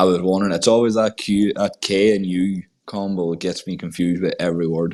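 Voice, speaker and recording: A man with a very deep, low pitch and a strong British accent, at a fairly quick pace, in monotone, flat intonation. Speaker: podcast host. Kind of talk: casual chat. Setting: online audio space recording.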